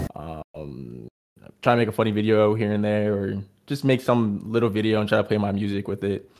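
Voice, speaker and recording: The delivery is fairly quick, with ordinary pitch variation, in a Californian accent. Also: man. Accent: Californian American. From Los Angeles. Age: 20s. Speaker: musician. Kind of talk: casual chat.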